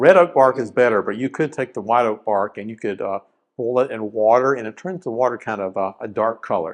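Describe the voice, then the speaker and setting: Against a quiet background, a man with an Appalachian accent talks at a medium pitch. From South Carolina (Rock Hill), Appalachian roots. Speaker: wildlife and forestry scientist, presenter. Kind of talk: educational presentation. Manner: casual, conversational with fillers.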